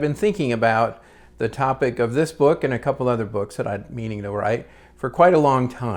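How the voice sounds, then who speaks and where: In a very clean recording with a silent background, a man talks at a moderate pace in a normal speaking voice, medium in pitch with ordinary pitch variation. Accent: American. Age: 60s. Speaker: retired media producer and new novelist. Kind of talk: casual vlog monologue. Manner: relaxed, with frequent fillers.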